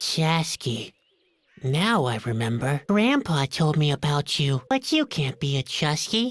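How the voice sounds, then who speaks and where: A put-on character voice in a low-to-middle pitch moves along at a fairly slow pace. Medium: video game. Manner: gloomy, glum.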